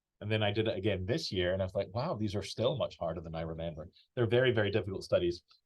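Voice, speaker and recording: Somewhat breathy, the voice moves at a very fast pace with ordinary pitch variation. It carries a Scottish accent. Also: man. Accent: British, Scottish. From Scotland. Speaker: flute professor. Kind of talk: online masterclass. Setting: video call from office. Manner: casual, chatty.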